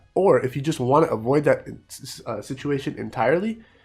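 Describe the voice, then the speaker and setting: The speaking pace is moderate, with music playing underneath. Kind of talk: casual gameplay commentary.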